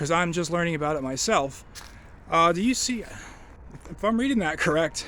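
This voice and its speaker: Speaking at a moderate pace with lively intonation, a man with a high pitch is heard amid audible room echo. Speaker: railfan video blogger. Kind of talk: casual walking vlog commentary. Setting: outdoors by railroad tracks. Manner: quiet.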